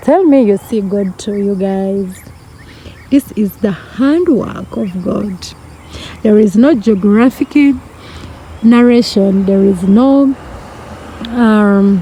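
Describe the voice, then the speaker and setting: Over noticeable background noise, a woman with a non-native accent speaks very slowly at a medium pitch, with ordinary pitch variation and long, frequent pauses. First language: not English. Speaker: vlogger. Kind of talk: casual vlog narration. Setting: outdoors. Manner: animated.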